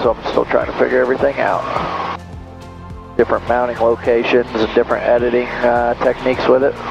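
A man talking at a very fast pace, dry sound with no echo, clear music in the background. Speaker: pilot vlogger. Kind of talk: casual vlog chat. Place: plane. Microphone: headset.

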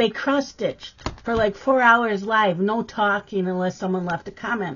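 This woman speaks at a fairly slow pace. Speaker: craft vlogger. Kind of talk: casual vlog chat. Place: home room.

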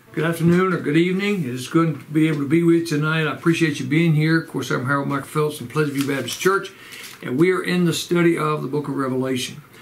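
Over light background noise, a man talks at a very fast pace with fairly even intonation. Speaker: church pastor. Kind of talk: sermon-style Bible study lecture. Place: home room.

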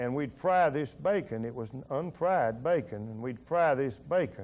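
Here a man speaks with a Tennessee accent. His pace is moderate and his intonation lively. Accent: US Southern (Tennessee). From Middle Tennessee. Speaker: war veteran and businessman. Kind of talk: oral history interview. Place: studio. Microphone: lapel.

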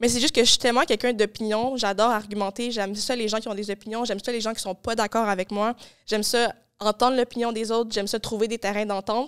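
The background stays quiet while a woman speaks at a very fast pace. Her intonation is monotone and flat. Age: young. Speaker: podcast host; podcast guest. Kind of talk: casual chat. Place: studio. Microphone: studio mic.

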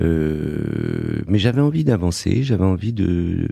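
A man's very deep, low voice, dark and mellow in tone, with very wide pitch swings. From Morocco, raised in Paris suburbs. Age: 50s. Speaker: entrepreneur and investor. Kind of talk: interview. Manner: hesitant, many fillers.

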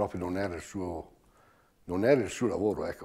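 Over a quiet background, a man with a fairly low, dark, mellow voice talks at a fairly quick pace. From Trentino, Giudicarie (Italy); Trentino. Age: 70s. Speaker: knife grinder emigrant. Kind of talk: interview testimony. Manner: halting. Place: home room.

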